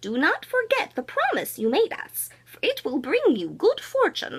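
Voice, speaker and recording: A put-on character voice. It moves along at a moderate pace. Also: woman, extremely high pitch for a woman. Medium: read story. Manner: speaking as one, earnest.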